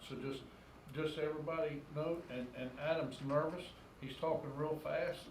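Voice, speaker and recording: Monotone, flat delivery at a moderate pace, with audible room echo and noticeable background noise. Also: man, fairly high pitch for a man. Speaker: town mayor. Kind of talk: council meeting chairing. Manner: loud. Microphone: sensitive room microphone, mask muffles it.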